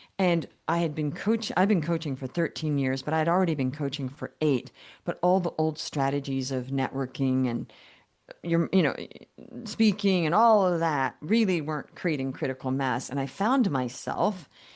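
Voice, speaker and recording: Over a quiet background, a woman with a very deep, low voice speaks at a moderate pace with lively intonation. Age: 60s. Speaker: business coach. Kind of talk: podcast interview. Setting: podcast.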